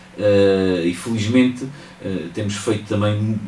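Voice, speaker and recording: A man with a fairly low voice speaks amid audible room echo and noticeable background noise. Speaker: mayor. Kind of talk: radio interview. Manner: hesitant with fillers.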